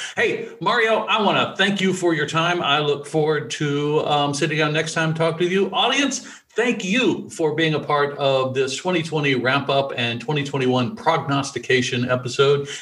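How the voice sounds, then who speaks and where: A man's fairly high-pitched voice at a moderate pace, with very even loudness, ordinary pitch variation, noticeable background noise and audible room echo. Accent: American. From US South, rural Alabama. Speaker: podcast host, developer. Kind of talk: casual chat.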